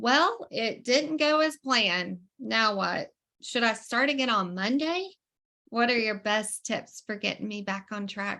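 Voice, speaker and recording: A woman with an American accent speaks at a fairly slow pace in a fairly high voice, her tone bright and sharp and her intonation lively, against a quiet background. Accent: Southern US accent, remarked on by viewers. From US South. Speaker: online community call host. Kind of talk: video call hosting. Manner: animated.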